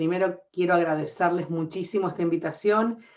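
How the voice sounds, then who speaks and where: Over a quiet background, a woman with an Argentine accent speaks in a fairly low pitch with ordinary pitch variation. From Argentina. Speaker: scientist, professor. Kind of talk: panel discussion.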